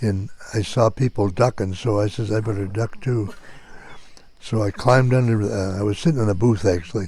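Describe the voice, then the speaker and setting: A man's dark, mellow, somewhat breathy voice, fairly low in pitch, with an American accent, fairly even intonation and a moderate pace. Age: old. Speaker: Korean War Navy veteran. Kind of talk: casual storytelling, recorded by family.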